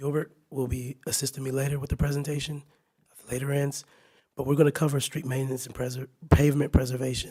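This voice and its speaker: Talking at a very fast pace, a man with a dark, mellow tone and fairly high pitch sounds somewhat breathy, flat and monotone in intonation, his loudness swinging widely. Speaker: city staff presenter. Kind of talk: presentation. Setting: council meeting.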